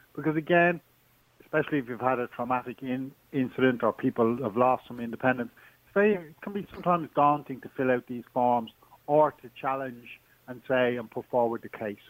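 A man with an Irish accent at a fairly quick pace, big swings in loudness, dry and close with no echo. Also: medium pitch for a man, ordinary pitch variation. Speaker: charity support coordinator. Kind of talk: radio interview.

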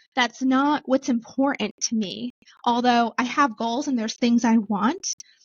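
A woman talks in a normal speaking voice. Her pitch is fairly high with ordinary variation, and her pace is moderate. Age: 30s. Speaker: real estate investor and business owner. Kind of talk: interview.

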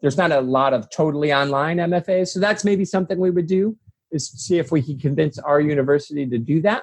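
A man with a somewhat breathy, fairly high voice talks fairly quickly, his pitch varying in an ordinary way. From US Midwest. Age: 40s. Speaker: humanities professor. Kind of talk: casual chat.

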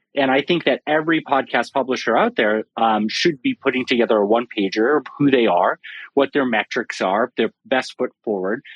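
A man has an ordinary speaking voice with ordinary pitch variation. He talks at a fairly quick pace. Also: very even loudness. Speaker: podcast analytics expert. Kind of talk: panel discussion. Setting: Clubhouse audio room.

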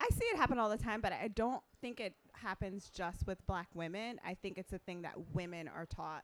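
The speaker talks at a fairly quick pace in a normal speaking voice. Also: woman, medium pitch for a woman, ordinary pitch variation. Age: 40s. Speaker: fashion stylist and consultant. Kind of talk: panel discussion.

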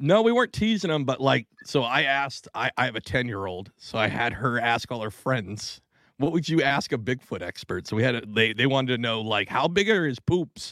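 A man's normal speaking voice with an American accent, medium pitch, lively intonation and a fairly quick pace, dry and close with no echo, on a very clean recording with a silent background. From US Pacific Northwest. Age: 30s. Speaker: podcast co-host. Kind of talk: casual chat. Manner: profane, joking.

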